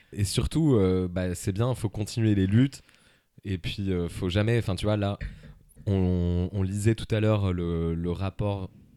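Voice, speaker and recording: Fairly slow and low-pitched, this man's voice has a dark, mellow tone and ordinary pitch variation. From Paris suburbs, France. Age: 30s. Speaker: comedy podcaster. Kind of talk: casual interview. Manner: hesitant, many fillers.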